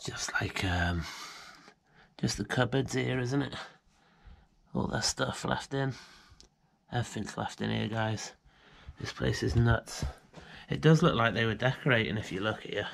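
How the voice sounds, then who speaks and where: A man with vocal fry speaks at a moderate pace, leaving long, frequent pauses. The background is quiet. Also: lively intonation. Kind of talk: casual vlog chat. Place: home room. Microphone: phone near.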